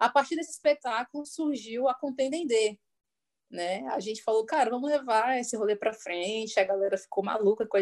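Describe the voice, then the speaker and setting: A woman has an unremarkable speaking voice with fairly high pitch. She talks at a fairly quick pace with lively intonation. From Brasília, Brazil. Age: 30s. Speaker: singer and music educator. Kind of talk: casual interview. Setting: online video call.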